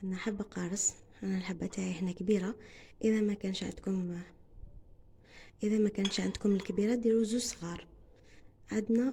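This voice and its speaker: A somewhat breathy woman's voice at medium pitch and a moderate pace. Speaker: home cooking video host. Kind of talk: cooking tutorial. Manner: halting, with frequent fillers.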